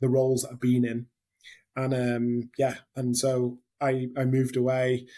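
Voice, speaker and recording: A man with a northern English accent speaks in a dark, mellow tone. His intonation is monotone and flat. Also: medium pitch for a man, fairly slow pace. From northern England. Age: 30s. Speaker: hospitality general manager. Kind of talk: interview. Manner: hesitant, many fillers.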